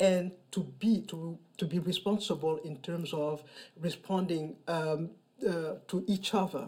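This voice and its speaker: This woman has a very deep, low pitch. Her tone is dark and mellow. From Mali. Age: 50s. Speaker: storyteller. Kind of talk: interview.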